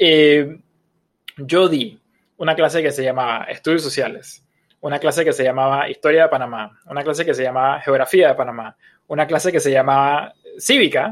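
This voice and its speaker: At a moderate pace, a man talks in an ordinary speaking voice, fairly high in pitch. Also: ordinary pitch variation. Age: 30s. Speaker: podcast co-host. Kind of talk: casual chat.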